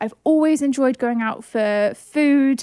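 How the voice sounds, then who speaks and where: Fairly slow speech in a southern English accent, with ordinary pitch variation and a dry, close sound with no echo. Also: woman. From southern England. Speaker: podcast host. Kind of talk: casual chat.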